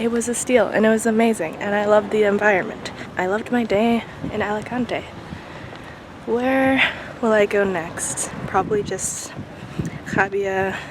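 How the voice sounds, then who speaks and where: Against noticeable background noise, a woman speaks at a moderate pace with long, frequent pauses. Her pitch is fairly high and her intonation fairly even. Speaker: vlogger. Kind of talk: casual vlog narration. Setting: outdoors walking around town; outdoors at the beach.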